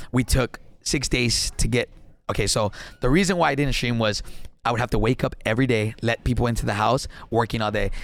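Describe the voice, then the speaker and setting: In a very clean recording with a silent background, a man with a South Texas accent speaks fairly quickly at medium pitch, with ordinary pitch variation and very even loudness. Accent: South Texas Mexican-American English. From Texas, Laredo. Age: 20s. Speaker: gaming streamer. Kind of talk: casual chat.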